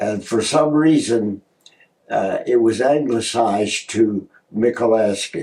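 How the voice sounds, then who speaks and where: A man with a Canadian accent speaks at a very slow pace. His tone is dark and mellow, and his pitch is medium. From Canada, Ontario (Toronto and Hamilton). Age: 80s+. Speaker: professor. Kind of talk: interview.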